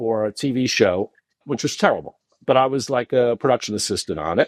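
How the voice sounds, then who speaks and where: With an American accent and a plain, everyday voice, a man speaks at a fairly quick pace in a medium pitch, the sound dry and close with no echo. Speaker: former radio producer turned finance professional. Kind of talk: podcast interview storytelling.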